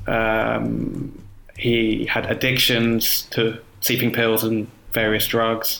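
A man with a southern English accent speaks at a medium pitch. Noticeable background noise runs underneath. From South London, Croydon. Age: 30s. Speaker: cycling writer. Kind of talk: casual interview.

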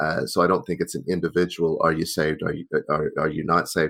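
A man's very deep, low pitch with an American accent, fairly quick pace, very clean recording and silent background. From Oklahoma, US South (Tulsa). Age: 50s. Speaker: priest and software engineer. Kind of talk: interview. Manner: halting, repeats words.

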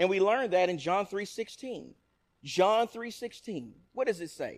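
This man has an East Texas accent and a high pitch. His intonation is lively. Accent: East Texas Southern US. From East Texas (Nacogdoches). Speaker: preacher. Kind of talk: sermon.

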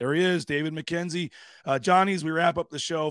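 On a very clean recording with a silent background and a dry, close sound with no echo, a man with a normal speaking voice talks fairly quickly at a fairly high pitch with fairly even intonation. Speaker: sports radio host. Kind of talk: casual sports talk radio chat.

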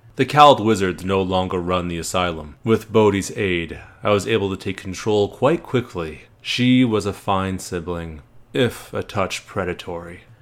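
The man's voice is very deep and low, and his pace is moderate. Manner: smug, cold, menacing.

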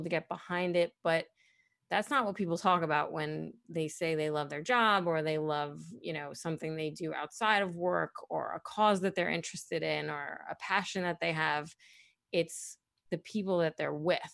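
Against a quiet background, a woman with an American accent talks at a moderate pace, her pitch fairly low and her intonation fairly even. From Brooklyn, New York. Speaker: former college radio program director. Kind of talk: interview reminiscence. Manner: chatty, laughs often.

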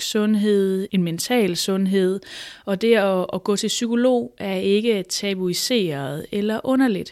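A woman with a medium pitch speaks at a very slow pace, with ordinary pitch variation. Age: 30s. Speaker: psychologist. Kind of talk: interview.

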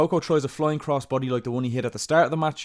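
Someone speaks with an Irish accent on a very clean recording with a silent background. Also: man. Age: 30s. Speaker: wrestling podcast host. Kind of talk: recap narration; casual chat.

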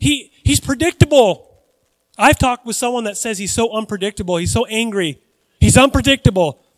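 A man with an American accent speaks fairly quickly at a high pitch, with lively intonation and big swings in loudness. The sound is dry and close, with no echo. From United States. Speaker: pastor. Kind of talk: sermon. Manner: halting.

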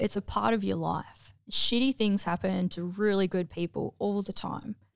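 In an Australian accent, the speaker goes at a moderate pace with hardly any pauses, on a very clean recording with a silent background. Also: woman. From Melbourne, Mornington Peninsula, Australia. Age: 40s. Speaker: navy veteran, former medic. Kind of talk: interview testimony. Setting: studio.

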